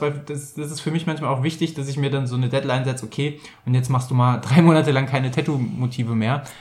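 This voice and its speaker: A man talks very fast in a fairly high pitch. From Rhineland, Bergisches Land (Germany). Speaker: podcast co-host. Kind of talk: casual chat. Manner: halting, many filler sounds.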